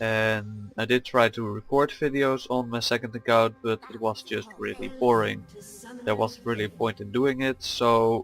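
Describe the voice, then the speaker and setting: A man with a non-native accent at a medium pitch and moderate pace, monotone and flat in intonation, with music in the background. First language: not English. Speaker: gaming youtuber. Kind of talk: gameplay commentary. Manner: hesitant, many fillers.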